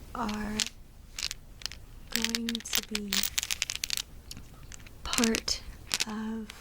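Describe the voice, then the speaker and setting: Whispering against noticeable background noise. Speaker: ASMR creator. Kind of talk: ASMR crafting ramble. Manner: whispered.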